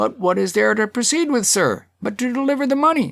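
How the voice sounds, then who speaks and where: Using a put-on character voice, a man speaks at a fairly quick pace in a high pitch, keeping his loudness very even. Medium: read story.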